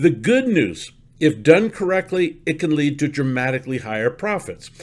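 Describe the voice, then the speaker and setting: In a very clean recording with a silent background, a man with an ordinary speaking voice talks at a fairly high pitch and a moderate pace. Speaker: stock market commentator. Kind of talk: market commentary with sales pitch.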